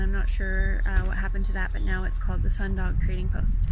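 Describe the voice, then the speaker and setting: Noticeable background noise around a dry, echo-free sound. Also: woman. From Yellowknife, Northwest Territories, Canada. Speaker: author and poet. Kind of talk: casual talk to camera, local history tour. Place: street. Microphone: phone near.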